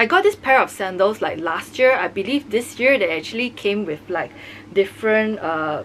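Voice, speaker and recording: Over noticeable background noise, a woman with a fairly high pitch and lively intonation speaks at a moderate pace. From Singapore. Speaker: fashion vlogger. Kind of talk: product review. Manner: casual.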